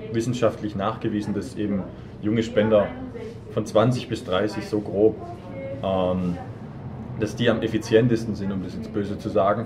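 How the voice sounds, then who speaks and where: A man's fairly low voice at a moderate pace, with fairly even intonation, audible room echo and noticeable background noise. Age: 20s. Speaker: student association board member. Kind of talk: interview. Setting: café.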